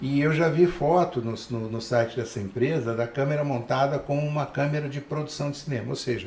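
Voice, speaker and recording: A man speaks in a normal speaking voice, keeping a moderate pace. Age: 60s. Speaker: photographer and cinematographer. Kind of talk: casual interview chat.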